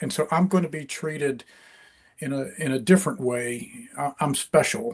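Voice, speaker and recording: A man speaks with a slight Deep South accent at a moderate pace. His intonation is lively, and his loudness swings a lot. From US South, rural East Mississippi. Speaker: crime fiction author. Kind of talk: interview. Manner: halting, many fillers and repeats.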